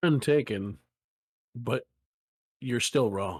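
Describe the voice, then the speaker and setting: Putting on a character voice, a man talks in a raspy, medium-pitched tone with lively intonation. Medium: actual play. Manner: dry, composed.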